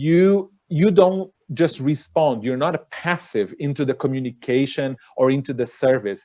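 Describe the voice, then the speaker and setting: A man with a Portuguese accent has a dark, mellow tone. He speaks at a fairly slow pace against a quiet background. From Brazil. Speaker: cruise line director. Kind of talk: panel webinar discussion.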